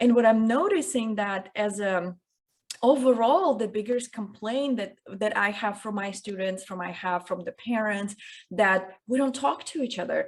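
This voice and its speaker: Speaking with a non-native accent, a woman keeps a moderate pace, her fairly high pitch showing ordinary variation. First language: not English. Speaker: communication coach. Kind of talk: interview.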